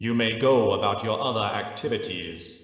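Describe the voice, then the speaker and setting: Using a put-on character voice, a man speaks at a medium pitch and moderate pace, with strong echo around him. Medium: read story. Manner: cool, low, carrying.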